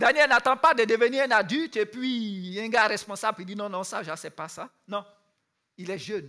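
Against a quiet background, a man projects a raised voice that is high for a man, with a bright, sharp tone, ordinary pitch variation and big swings in loudness. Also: moderate pace. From Ivory Coast. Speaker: youth camp speaker; speaker. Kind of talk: sermon. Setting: youth camp with audience. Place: stage.

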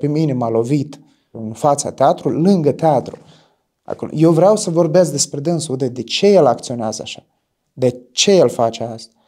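A man speaks at a moderate pace against a quiet background. His pitch is fairly high, with ordinary pitch variation. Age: 20s. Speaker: stage actor. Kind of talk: interview testimony. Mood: reflective, thoughtful. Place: studio. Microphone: lapel.

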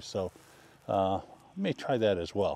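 The man's voice has a dark, mellow tone in a dry sound with no echo. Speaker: photographer vlogger. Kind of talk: casual vlog chat. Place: open country. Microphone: lapel.

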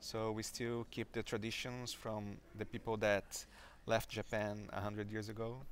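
Over light background noise, a man speaks at a moderate pace in a fairly low, monotone, flat voice. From Brazil (Maringá, Paraná). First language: Portuguese. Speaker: software developer and conference speaker. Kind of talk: interview. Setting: conference venue. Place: meeting room.

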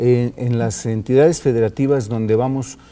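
A man with a Mexican accent speaks at a medium pitch in a dark, mellow tone with ordinary pitch variation. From Mexico. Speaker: electoral official guest. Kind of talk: TV interview. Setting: studio. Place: studio.

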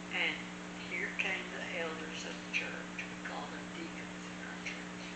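Against loud background noise, a woman talks at a fairly slow pace. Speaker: church teacher. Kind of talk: personal story told in conversation. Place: home room. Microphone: camera far.

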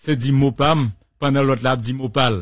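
Over a quiet background, a man speaks at a fairly slow pace with fairly even intonation, the sound dry with no echo. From Haiti. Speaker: radio host. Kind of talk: radio talk show. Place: studio. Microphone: studio mic.

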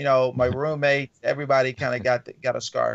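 A man with an American accent talks at a very fast pace against a quiet background. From US South. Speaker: comedian and reading educator; comedian, reading educator. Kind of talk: casual interview. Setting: video call. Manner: laid-back, laughs often. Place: home room. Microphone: video call.

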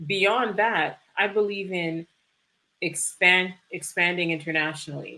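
A woman speaks at a fairly slow pace in a fairly low voice. Her tone is bright and sharp. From Canada (Toronto), Jamaican immigrant parents. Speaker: e-commerce fulfillment business owner; guest. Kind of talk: livestream interview. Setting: video livestream. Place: home room. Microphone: webcam.

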